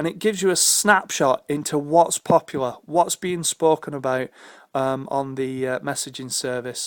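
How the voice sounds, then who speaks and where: A man talks with a British accent. The sound is dry and close with no echo, on a very clean recording with a silent background. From United Kingdom. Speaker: tech video blogger. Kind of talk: screen demo tutorial. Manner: casual with frequent fillers.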